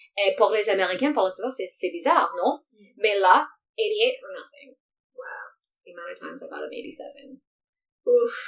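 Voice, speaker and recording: A woman's very slow speech, full of long, frequent pauses and big swings in loudness. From Morocco. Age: 30s. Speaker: diversity and inclusion expert. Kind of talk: casual interview.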